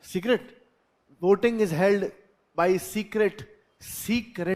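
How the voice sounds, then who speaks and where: With an Indian accent, a man in a high pitch speaks at a very slow pace with ordinary pitch variation. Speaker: teacher. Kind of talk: lecture. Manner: repetitive.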